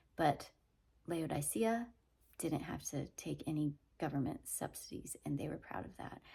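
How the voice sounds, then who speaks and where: A woman's very deep, low voice with vocal fry and a dark, mellow tone, on a very clean recording with a silent background. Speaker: Bible teaching vlogger. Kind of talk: casual teaching monologue. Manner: conversational.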